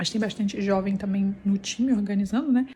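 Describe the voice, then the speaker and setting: Soft-spoken, a woman talks at a medium pitch and a fairly quick pace. Noticeable background noise runs behind her. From Brazil, Petrópolis, Rio de Janeiro. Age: 30s. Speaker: family vlogger. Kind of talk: casual vlog. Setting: school building at a church camp. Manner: speaking softly.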